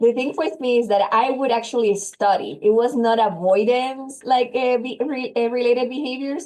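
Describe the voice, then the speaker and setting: A woman with a Puerto Rican accent speaks at a moderate pace with hardly any pauses, her pitch high with ordinary variation. Noticeable background noise runs under her voice. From Puerto Rico. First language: Spanish. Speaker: psychologist. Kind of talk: interview testimony.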